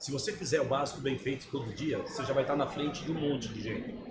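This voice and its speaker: A man talks very fast at a fairly high pitch. Noticeable background noise and audible room echo fill the recording. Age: 60s. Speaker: sales agency founder. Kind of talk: podcast interview. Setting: trade fair.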